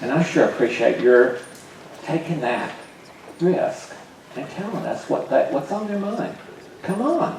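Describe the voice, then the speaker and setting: A man's speech carries audible room echo along with noticeable background noise. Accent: American. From US South, Atlanta, Georgia. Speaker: workshop teacher. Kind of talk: lecture. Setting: large classroom session with audience. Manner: animated.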